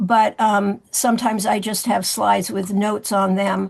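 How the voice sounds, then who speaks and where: The background stays quiet while a woman talks at a moderate pace. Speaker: seminar presenter, movement teacher. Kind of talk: presentation of course slides. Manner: halting, many fillers.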